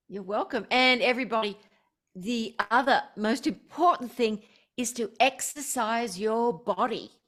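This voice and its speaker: Recorded very cleanly against a silent background, a woman with an ordinary speaking voice talks fairly slowly in a fairly high pitch with ordinary pitch variation. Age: 60s. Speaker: spiritual teacher and author. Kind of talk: interview.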